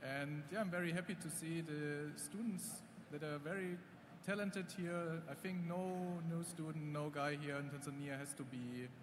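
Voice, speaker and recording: With audible room echo and noticeable background noise, a man talks at a fairly high pitch with ordinary pitch variation. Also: moderate pace. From Germany. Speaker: AI startup founder, judge. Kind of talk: conference speech.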